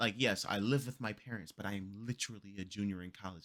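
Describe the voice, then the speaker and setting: A man with a fairly low pitch talks at a moderate pace in an animated tone, with ordinary pitch variation. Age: 20s. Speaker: reaction streamer. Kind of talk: reaction commentary.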